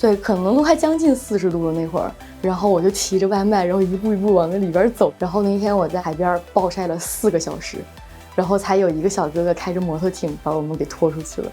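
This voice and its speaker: A woman at medium pitch with ordinary pitch variation and a very fast pace, over music in the background. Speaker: ski instructor and surf business owner. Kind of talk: interview answer.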